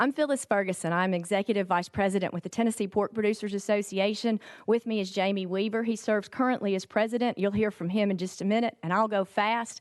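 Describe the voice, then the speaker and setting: Over a quiet background, a woman at a medium pitch talks at a very fast pace with fairly even intonation, the sound dry and close with no echo. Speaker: agricultural trade association executive. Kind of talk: committee testimony presentation. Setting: legislative hearing room.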